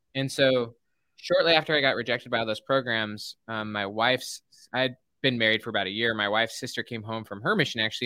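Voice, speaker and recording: In a very clean recording with a silent background and a dry, close sound with no echo, a man with an American accent talks at a fairly quick pace, his bright, sharp tone carrying fairly even intonation. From Utah. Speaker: organizational psychologist and author. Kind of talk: interview. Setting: live video stream.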